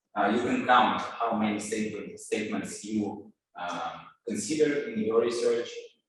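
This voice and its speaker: Audible room echo surrounds a man at medium pitch. He speaks at a moderate pace with ordinary pitch variation. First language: Russian. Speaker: scientist. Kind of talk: lecture. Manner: halting, many filler words.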